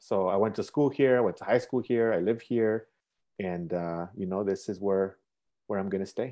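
A man with an American accent has a normal speaking voice, a fairly low pitch and ordinary pitch variation. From Chicago, Little Village. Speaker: community peacemaker. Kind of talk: casual interview.

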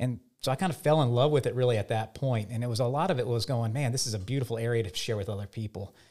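This man talks at a very fast pace with hardly any pauses, his medium-pitched voice somewhat breathy, dark and mellow in tone, with ordinary pitch variation. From Louisiana (Lafayette). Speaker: swamp photographer and nonprofit director. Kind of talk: casual interview.

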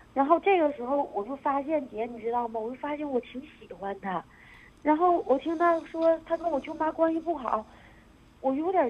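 A woman's high voice at a moderate pace, with lively intonation and big swings in loudness. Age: 20s. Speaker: radio call-in caller. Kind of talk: emotional confession on phone-in. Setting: phone call.

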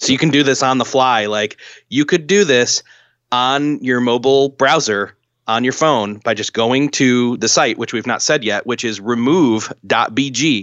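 This man has an unremarkable speaking voice at a medium pitch. He talks fairly slowly with ordinary pitch variation. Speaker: marketing tool tipster. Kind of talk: casual chat.

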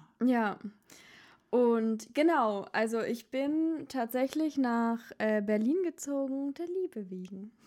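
A woman's high voice with a dark, mellow tone and lively intonation, at a very slow pace. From Baden-Württemberg, Germany. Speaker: podcast host. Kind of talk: casual chat. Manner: animated.

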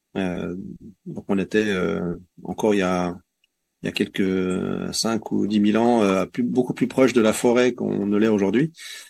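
Here a man speaks with a fairly low pitch. His pace is fairly slow and his pitch variation ordinary. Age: 40s. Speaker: forest garden association member, former engineer. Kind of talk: interview. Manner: hesitant, many fillers.

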